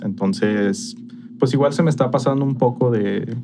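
A man with a Mexican accent at a medium pitch, amid noticeable background noise. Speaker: podcast co-host. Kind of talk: casual chat.

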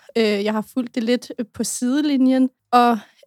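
A woman speaks at a high pitch with fairly even intonation. The sound is dry and close, with no echo. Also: very clean recording, silent background. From Denmark. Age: 20s. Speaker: youth association volunteer. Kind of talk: personal testimony.

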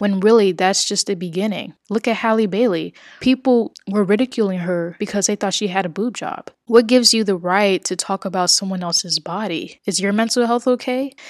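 In a very clean recording with a silent background and a dry, close sound with no echo, a woman with an American accent talks fairly quickly at a medium pitch, with ordinary pitch variation and hardly any pauses. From US South, New Orleans, Louisiana. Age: 20s. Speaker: podcast host. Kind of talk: solo monologue podcast. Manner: casual, conversational.

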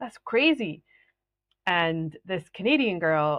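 A woman's fairly low voice with a slight Scottish accent and lively intonation. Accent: Scottish, fairly mild. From Scotland. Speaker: business mentor and coach. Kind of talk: solo podcast talk, educational.

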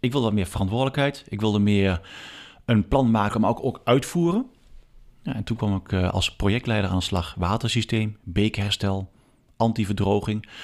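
On a very clean recording with a silent background, a man with a plain, everyday voice speaks at a moderate pace and a fairly low pitch, with ordinary pitch variation. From Achterhoek, eastern Netherlands. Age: 40s. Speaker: water authority advisor and stream specialist. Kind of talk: casual interview. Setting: at a kitchen table in his home.

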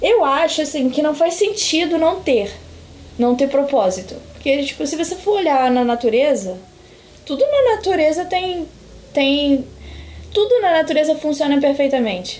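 Over noticeable background noise, a woman with a high voice talks at a moderate pace, her pitch swinging very widely between long, frequent pauses. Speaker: psychologist. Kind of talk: casual chat.

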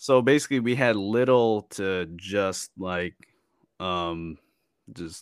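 In a very clean recording with a silent background, a man speaks with a very deep, low pitch and ordinary pitch variation. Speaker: podcast guest. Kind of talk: casual chat. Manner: laid-back.

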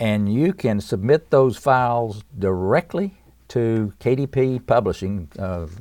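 This man, with an Appalachian accent, has a medium pitch and lively intonation. The recording is very clean, with a silent background. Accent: Southern US (Appalachian). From East Tennessee, US. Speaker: musician and author. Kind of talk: interview. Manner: halting.

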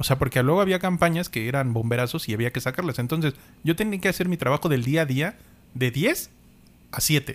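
In a normal speaking voice, a man talks at a fairly high pitch with lively intonation and a fairly quick pace on a very clean recording with a silent background. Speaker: podcast co-host. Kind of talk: casual chat.

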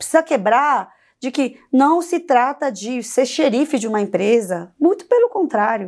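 In a very clean recording with a silent background, a woman speaks fairly slowly at a high pitch, her voice swinging very widely in pitch. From South Korea, Seoul; in Brazil from age 11. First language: Korean (speaking Portuguese). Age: 40s. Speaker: compliance consultant, former prosecutor. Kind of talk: interview podcast.

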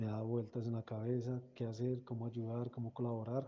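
A man speaks at a medium pitch and a fairly slow pace, his voice somewhat breathy. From Colombia. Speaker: music organization founder. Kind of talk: interview.

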